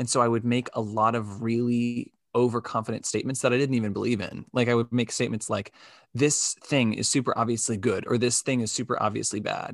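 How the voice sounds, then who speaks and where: A man's medium-pitched, monotone voice, flat in intonation and fairly quick in pace, over a quiet background. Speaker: podcast host. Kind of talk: casual chat about personality typing. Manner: casual, filler-heavy.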